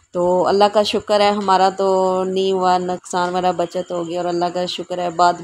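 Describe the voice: A woman is talking. Her voice sits fairly low.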